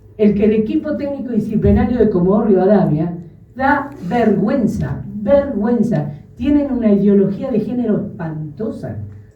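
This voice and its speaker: A woman with a fairly high voice speaks at a moderate pace with lively intonation, her words carrying some room echo over noticeable background noise. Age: 60s. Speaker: grandmother speaking at a congress. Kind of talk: public testimony speech. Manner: emotional, firm.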